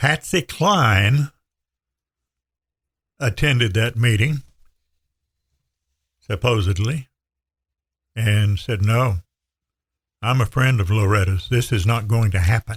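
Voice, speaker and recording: In a dry, close sound with no echo, a man with an American accent speaks very slowly at medium pitch, somewhat breathy. His loudness stays very even, and his pitch varies in an ordinary way. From Western North Carolina. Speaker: radio broadcaster. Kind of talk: podcast conversation.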